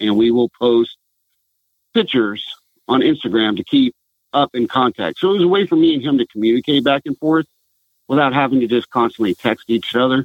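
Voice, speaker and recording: A man with a normal speaking voice and an American accent talks at a fairly quick pace, medium in pitch with ordinary pitch variation. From Southern California. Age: 40s. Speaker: retired military veteran, outdoors brand founder. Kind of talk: interview.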